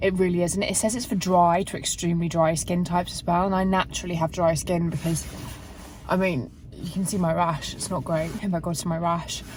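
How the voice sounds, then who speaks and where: Over noticeable background noise and audible room echo, a woman with an English accent talks at a fairly quick pace with fairly even intonation. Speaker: fitness vlogger. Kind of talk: casual vlog. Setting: in a car. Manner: loud.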